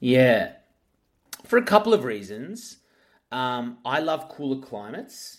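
His pitch moves in an ordinary way. The speaker is a man with an Australian accent. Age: 30s. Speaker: radio host. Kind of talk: casual chat.

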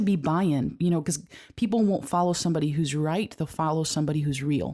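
Recorded very cleanly with a silent background, a woman talks at a very fast pace. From US, Cuban-American family. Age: 30s. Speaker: church creative staff leader. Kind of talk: casual chat.

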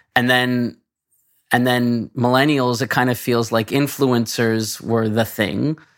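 A man with a plain, everyday voice keeps fairly even intonation and talks at a moderate pace. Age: 40s. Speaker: podcast host, games industry professional. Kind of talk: casual interview chat.

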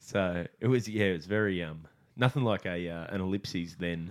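Speaking at a moderate pace, a man has a very deep, low pitch and ordinary pitch variation. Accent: Australian. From Australia. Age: 30s. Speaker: comedian and podcast host. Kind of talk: charity plug; casual chat.

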